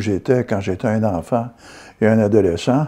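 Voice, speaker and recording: A man with a Quebec accent, a medium pitch, a dark, mellow tone and ordinary pitch variation. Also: quiet background. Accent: Québécois French. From Quebec, Gatineau (Hull), Outaouais. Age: 70s. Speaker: amateur sculptor. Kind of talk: interview testimony. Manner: halting, with fillers.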